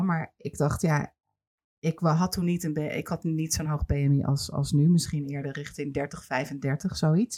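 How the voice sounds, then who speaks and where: A woman's very deep, low voice, dark and mellow in tone, at a fairly slow pace with fairly even intonation. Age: 40s. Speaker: podcast host and television producer. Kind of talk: casual interview.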